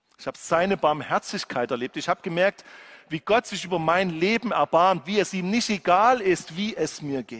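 A man with a high pitch and lively intonation speaks at a moderate pace, the sound dry and close with no echo. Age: 50s. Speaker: pastor. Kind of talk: sermon.

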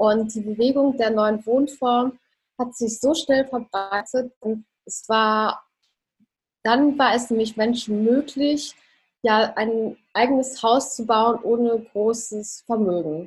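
Over background music, a woman speaks very slowly at a fairly high pitch with fairly even intonation. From Germany, Ruhr area (Dortmund). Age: 20s. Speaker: architect and minimalism coach. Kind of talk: interview.

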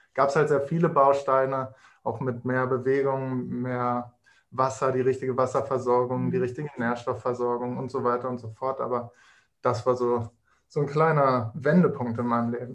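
A plain, everyday voice from a man at a moderate pace, medium in pitch, with fairly even intonation. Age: 20s. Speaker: nutrition consultant. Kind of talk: casual interview.

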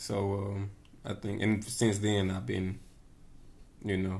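A man speaks at a moderate pace in a fairly low, somewhat breathy voice with flat, monotone intonation. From Tennessee, Knoxville. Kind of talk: casual chat.

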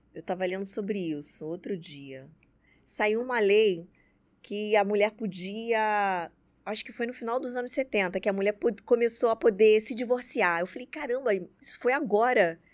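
Lively intonation from a woman at a fairly high pitch and moderate pace, with big swings in loudness, on a very clean recording with a silent background. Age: 30s. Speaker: dentist and entrepreneur. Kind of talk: interview conversation. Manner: halting, many fillers.

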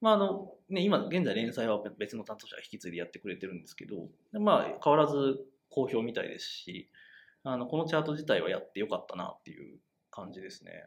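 His loudness swinging widely, a man speaks at a fairly quick pace. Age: 30s. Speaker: web media editor, podcast co-host. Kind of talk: casual discussion podcast.

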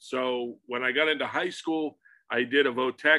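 In an American accent, a man talks with an unremarkable speaking voice at a medium pitch and fairly even intonation. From Pittsburgh, Pennsylvania. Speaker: comic book artist. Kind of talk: casual interview. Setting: home studio.

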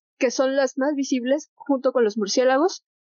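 A woman talks in a high-pitched voice. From Mexico City. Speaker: naturalist. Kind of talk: casual chat. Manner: halting.

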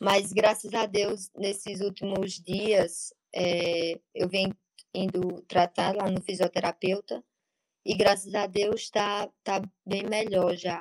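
A woman at medium pitch talks at a very slow pace in a flat monotone. The sound is dry and close, with no echo. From Paraíba, Brazilian Northeast (Monteiro). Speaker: athlete. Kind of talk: interview. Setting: live stream.

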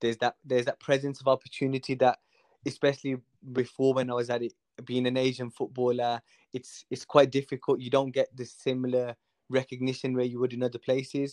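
A man's medium-pitched voice in a Birmingham accent, monotone and flat, at a fairly quick pace, with a dry, close sound and no echo. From Birmingham, England (Hall Green). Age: 20s. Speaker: amateur footballer. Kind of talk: casual chat.

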